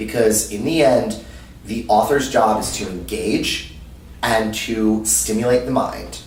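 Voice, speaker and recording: A man speaks in an animated tone. Audible room echo and noticeable background noise surround his voice. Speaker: anime panelist. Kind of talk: interview. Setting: convention. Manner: loud.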